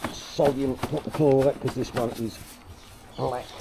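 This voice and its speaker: Noticeable background noise accompanies a man speaking. His pitch is medium and his pace fairly slow. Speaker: pressure washing tradesman. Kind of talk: vlog narration while working. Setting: outdoors. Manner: casual.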